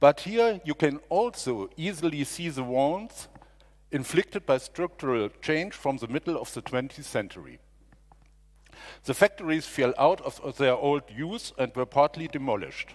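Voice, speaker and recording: Lively intonation and a fairly high pitch mark this man's speech in a German accent, delivered at a moderate pace. The recording is very clean, with a silent background. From Germany. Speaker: district mayor. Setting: stage with audience. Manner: halting.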